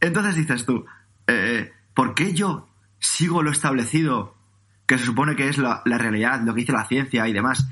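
A bright, sharp tone comes at a moderate pace with ordinary pitch variation. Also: man, medium pitch for a man. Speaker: personal trainer and podcaster. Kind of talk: interview. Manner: calm.

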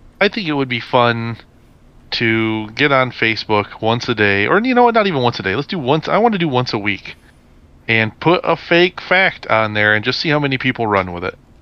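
In a normal speaking voice, a man talks fairly quickly at medium pitch, his intonation lively. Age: 30s. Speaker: podcast co-host. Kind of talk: casual chat.

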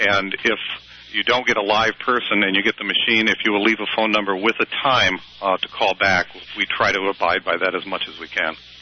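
Over noticeable background noise, the voice moves at a fairly quick pace with monotone, flat intonation. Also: man, fairly low pitch for a man. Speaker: nonprofit representative. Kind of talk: interview. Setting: phone call.

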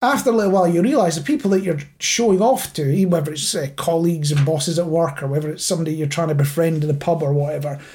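A man with a Scottish accent talks very fast at a high pitch. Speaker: podcast host. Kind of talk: casual chat.

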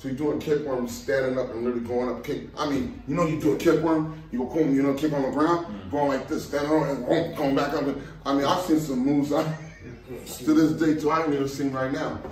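With an American accent and a fairly high pitch, a man talks at a fairly quick pace with hardly any pauses and fairly even intonation, amid noticeable background noise and audible room echo. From Los Angeles area, California. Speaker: street dancer. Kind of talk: casual chat.

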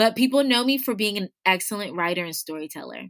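A woman with an unremarkable speaking voice and medium pitch talks at a fairly quick pace with lively intonation, in a dry, close sound with no echo on a very clean recording with a silent background. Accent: American. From Washington DC area, Ghanaian family. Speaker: entrepreneur and business coach. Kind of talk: interview conversation.

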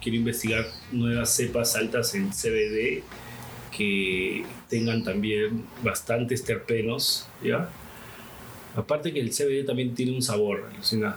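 Over noticeable background noise and audible room echo, a man speaks at a very slow pace with fairly even intonation. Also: medium pitch for a man, very even loudness. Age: 30s. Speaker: cannabis activist and grower. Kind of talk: casual interview.

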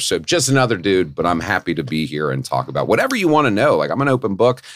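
A man at a very fast pace, fairly low in pitch, with vocal fry and very wide pitch swings. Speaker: podcast guest in recovery. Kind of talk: casual chat. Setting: studio. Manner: animated, chatty.

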